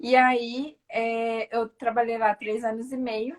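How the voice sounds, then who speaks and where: The woman speaks in a high-pitched voice. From Brazil, São Paulo. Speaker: physiotherapist, Pilates studio owner. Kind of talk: casual interview on live stream. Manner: hesitant, many fillers.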